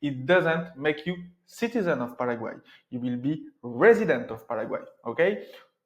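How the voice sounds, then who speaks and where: A man with a French accent at a moderate pace, his pitch swinging very widely. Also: fairly high pitch for a man. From France. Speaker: entrepreneur and residency consultant. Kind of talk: informational talk to camera. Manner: conversational, some hesitations.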